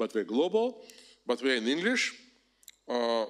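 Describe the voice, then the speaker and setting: In a very clean recording with a silent background, a man is heard. His pitch swings very widely. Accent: Russian. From Russia, Moscow. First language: Russian. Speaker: professor. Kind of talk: lecture. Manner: animated.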